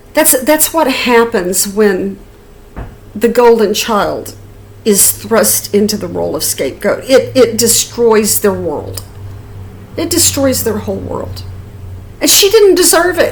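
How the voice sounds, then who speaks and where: A fairly slow pace with long, frequent pauses, plus audible room echo and noticeable background noise. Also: woman. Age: 60s. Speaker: YouTuber. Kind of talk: personal storytelling. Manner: halting, many repeated words.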